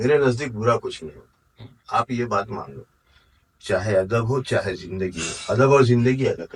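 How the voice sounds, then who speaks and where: The man's voice is somewhat breathy. His loudness swings a lot. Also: medium pitch for a man, ordinary pitch variation. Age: 60s. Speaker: poet. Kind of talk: interview.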